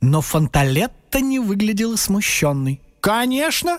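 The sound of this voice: A reading voice that sounds unforced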